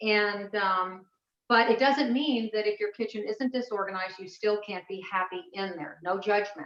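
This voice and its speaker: A woman talks in a plain, everyday voice at a medium pitch. Her pitch variation is ordinary. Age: 60s. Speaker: personal chef and cooking teacher. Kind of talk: online class presentation. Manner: casual, with many fillers.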